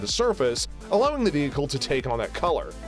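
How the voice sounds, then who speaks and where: Music plays behind a man with a fairly high voice. His pitch swings very widely. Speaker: voiceover artist. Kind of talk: tech video narration.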